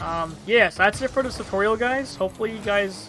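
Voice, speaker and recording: Noticeable background noise is present. The speaker moves at a fairly quick pace. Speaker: gaming youtuber. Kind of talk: tutorial. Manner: halting, many filler words; casual.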